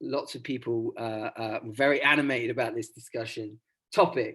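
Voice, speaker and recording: Recorded very cleanly with a silent background, a man with an English accent speaks at a moderate pace. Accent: received pronunciation. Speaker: academic researcher presenting at a workshop. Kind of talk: conference presentation. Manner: hesitant, many fillers.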